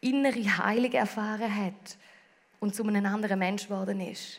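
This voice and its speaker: In a Swiss accent, a woman speaks at a moderate pace with ordinary pitch variation. Her voice is somewhat breathy. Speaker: preacher. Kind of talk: sermon.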